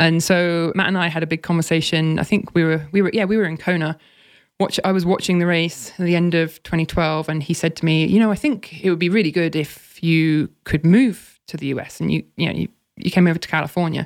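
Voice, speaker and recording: A woman speaks at a fairly quick pace with an English accent and fairly even intonation. The recording is very clean, with a silent background. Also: fairly low pitch for a woman. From England. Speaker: former pro triathlete and content strategist. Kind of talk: casual interview.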